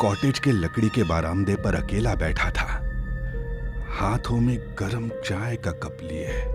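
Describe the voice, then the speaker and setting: A man talking with music in the background. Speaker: narrator. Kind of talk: horror story narration.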